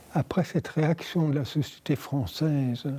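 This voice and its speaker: The voice belongs to a man, fairly high in pitch and somewhat breathy. His tone is dark and mellow, and his pace very slow. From France, Paris. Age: 80s+. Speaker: interviewee, wartime survivor. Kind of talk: oral history interview. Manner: halting.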